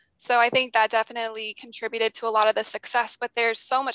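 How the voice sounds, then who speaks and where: A very fast pace and bright, sharp tone, dry and close with no echo against a quiet background. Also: woman. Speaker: former college tennis player. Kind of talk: interview.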